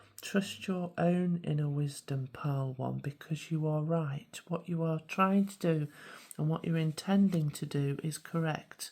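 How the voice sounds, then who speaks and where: A woman's very deep, low voice with a British accent, a dark, mellow tone, fairly even intonation and a fairly slow pace. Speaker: spiritual coach and card reader. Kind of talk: tarot card reading.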